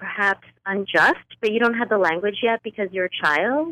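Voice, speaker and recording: Bright, sharp tone from a woman at a medium pitch. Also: dry, close sound with no echo. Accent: New York. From northern New Jersey, US. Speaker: author. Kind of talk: interview.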